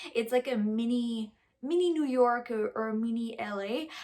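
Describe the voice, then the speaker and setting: Here a woman talks with a Quebec accent. Her pitch is fairly high. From Quebec, Rouyn-Noranda. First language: French. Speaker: vlogger and musician. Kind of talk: personal storytelling vlog. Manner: casual, with many fillers.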